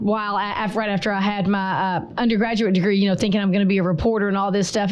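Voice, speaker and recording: A woman talks at a very fast pace with a Southern US accent. Room echo is audible, and background noise is noticeable. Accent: Southern twang. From North Alabama. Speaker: chamber of commerce director. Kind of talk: interview.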